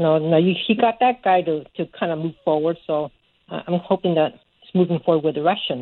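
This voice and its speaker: At a moderate pace, this is an unremarkable speaking voice with ordinary pitch variation. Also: woman. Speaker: caller. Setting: phone call.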